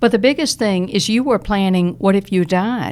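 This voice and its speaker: On a very clean recording with a silent background, a woman with a Southern US accent speaks at a moderate pace, her pitch medium with ordinary variation. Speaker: retired Social Security expert. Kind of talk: podcast interview. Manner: animated.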